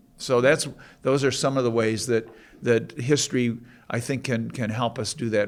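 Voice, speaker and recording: At a moderate pace, a man with vocal fry speaks at medium pitch with fairly even intonation. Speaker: panelist. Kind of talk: panel discussion. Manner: halting.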